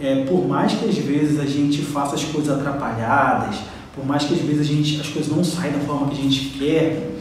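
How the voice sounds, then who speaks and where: Audible room echo hangs on the voice. A man talks over noticeable background noise. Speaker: religious teacher. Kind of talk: lecture. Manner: animated.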